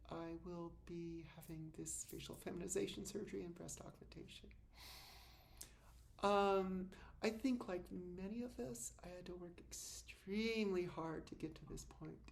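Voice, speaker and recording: A woman speaks at a moderate pace with big swings in loudness, and audible room echo is present. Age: 60s. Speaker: vlogger. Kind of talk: personal video diary. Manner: halting.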